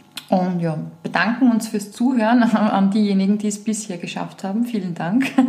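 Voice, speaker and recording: A woman with medium pitch speaks at a moderate pace. The room echo is audible, and background noise is noticeable. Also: fairly even intonation. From Lower Austria, Weinviertel. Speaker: podcast host, entrepreneur. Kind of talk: casual chat.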